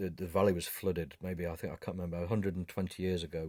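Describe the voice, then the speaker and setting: A man with a northern English accent and a very deep, low pitch, on a very clean recording with a silent background. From northern England. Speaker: photographer. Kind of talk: interview. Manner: halting.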